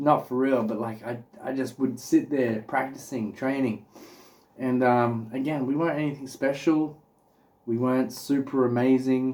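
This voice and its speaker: This man speaks at medium pitch and a moderate pace. His intonation is monotone and flat. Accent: Australian. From Australia. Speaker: vlogger. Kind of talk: casual chat. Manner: casual, filler-heavy.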